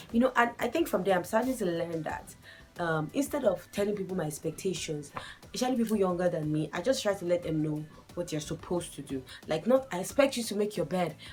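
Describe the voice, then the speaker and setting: A woman's medium-pitched voice at a very fast pace, lively intonation, and music in the background. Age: 20s. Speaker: lifestyle vlogger. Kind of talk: casual vlog monologue. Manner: conversational, chatty.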